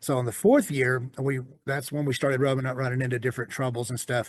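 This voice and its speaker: A man with a Southern US accent talks at a fairly quick pace with fairly even intonation against a quiet background. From US South. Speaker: storyteller guest sharing life story. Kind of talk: personal testimony in interview. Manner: halting, many fillers.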